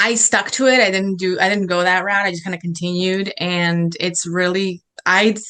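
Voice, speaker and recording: Speaking in a Chicago accent, a woman has a medium pitch and a bright, sharp tone. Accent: Chicago American English. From Chicago, raised in the US after early childhood in Serbia. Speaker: food blogger. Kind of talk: interview answer. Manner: casual, hesitant with fillers.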